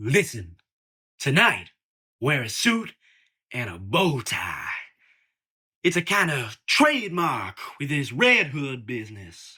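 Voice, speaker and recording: A man's put-on character voice, fairly high and fairly slow, with very wide pitch swings, big swings in loudness and long, frequent pauses, on a very clean recording with a silent background. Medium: audio drama. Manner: blunt, streetwise.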